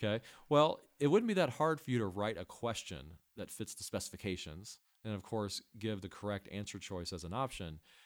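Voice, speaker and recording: Recorded very cleanly with a silent background, a man speaks fairly quickly with an American accent in an unremarkable speaking voice. His pitch is fairly low, and his loudness swings widely. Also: lively intonation. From US Midwest. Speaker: test prep company co-founder. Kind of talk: casual interview.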